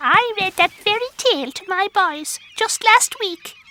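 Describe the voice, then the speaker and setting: In a squeaky, cartoonish character voice, a female-sounding speaker talks at a fairly slow pace and an extremely high pitch. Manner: brisk, exclamatory.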